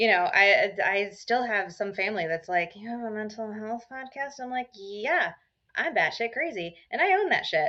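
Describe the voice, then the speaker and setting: A loud woman speaks at a fairly high pitch with very wide pitch swings. Her pace is moderate. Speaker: mental health podcaster. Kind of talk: casual chat.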